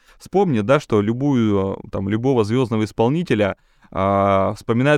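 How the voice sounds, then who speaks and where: A man with an unremarkable speaking voice talks at a moderate speed with ordinary pitch variation, recorded very cleanly against a silent background with a dry, close sound and no echo. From Siberia. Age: 30s. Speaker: TV presenter and event host. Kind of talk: casual interview chat.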